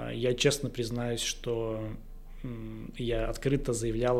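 Audible room echo hangs around the voice. The man talks at a fairly slow pace. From Russia, Izhevsk. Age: 30s. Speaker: entrepreneur, company director. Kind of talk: casual interview.

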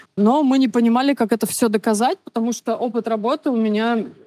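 At a very fast pace, a woman speaks in a dark, mellow tone with a fairly high pitch and ordinary variation, the sound dry and close with no echo. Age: 30s. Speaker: baker, immigrant. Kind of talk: interview.

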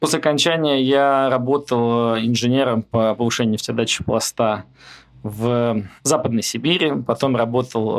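A man speaks at a moderate pace in a normal speaking voice, medium in pitch with fairly even intonation. The recording is very clean, with a silent background. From Moscow, Russia. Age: 30s. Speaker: oil company founder. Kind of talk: interview conversation.

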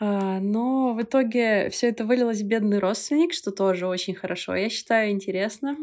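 A woman talks at a moderate pace with ordinary pitch variation, in a very clean recording with a silent background. It's a normal speaking voice. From Belarus. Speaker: bar co-founder and former cruise ship worker. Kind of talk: casual chat.

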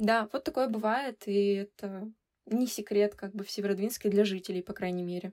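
An unremarkable speaking voice moves at a moderate pace with fairly even intonation and a dry, close sound with no echo. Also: woman, medium pitch for a woman. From Russia, Severodvinsk (Arkhangelsk region). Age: 20s. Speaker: designer and photographer. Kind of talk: casual chat.

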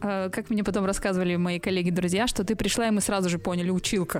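A woman speaks in an ordinary speaking voice at a medium pitch with fairly even intonation. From central Russia. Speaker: media manager and coach. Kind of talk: casual interview chat. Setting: studio.

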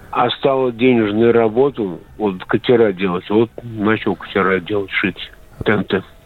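At a fairly slow pace, a man speaks with fairly even intonation and a fairly low pitch. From Donetsk region. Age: 60s. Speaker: caller. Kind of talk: phone-in call. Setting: phone call. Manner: halting.

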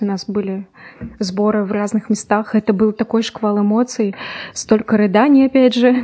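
A woman with a fairly high pitch speaks at a moderate pace with fairly even intonation in a dry, close sound with no echo, over noticeable background noise. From Urals, Russia (Yekaterinburg). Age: 20s. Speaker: lawyer. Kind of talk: casual chat. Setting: studio.

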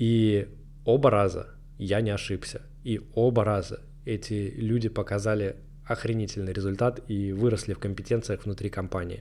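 A man's dark, mellow tone, monotone and flat, at a moderate pace. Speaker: marketing manager and blogger. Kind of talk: solo monologue podcast. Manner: casual, slangy.

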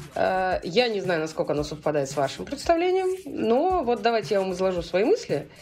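A woman is speaking. She keeps a moderate pace with hardly any pauses. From Russia, St Petersburg. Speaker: bar industry event organizer. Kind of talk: casual chat. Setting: remote call.

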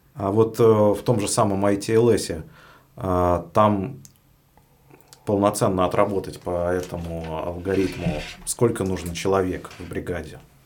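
Over noticeable background noise, a man with a very deep, low pitch talks at a very slow pace, his intonation fairly even and broken by long, frequent pauses. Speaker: podcast host. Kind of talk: interview.

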